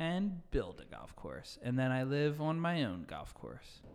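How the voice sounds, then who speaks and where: A man has an unremarkable speaking voice with ordinary pitch variation. He talks at a fairly slow pace. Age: 30s. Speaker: podcast guest. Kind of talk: casual chat.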